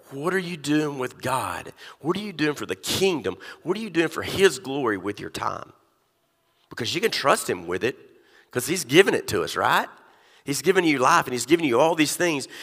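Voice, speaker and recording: Very clean with a silent background, this recording carries a voice with an American accent, lively intonation and vocal fry at a fairly quick pace. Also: man, fairly high pitch for a man. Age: 50s. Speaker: pastor. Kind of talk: sermon. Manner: animated.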